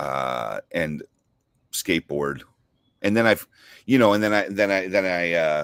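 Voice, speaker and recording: A man with an American accent at a very deep, low pitch, fairly slow pace and lively intonation, with long, frequent pauses and a dry, close sound with no echo. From Southern California, Orange County. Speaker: cigar company founder. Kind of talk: casual chat.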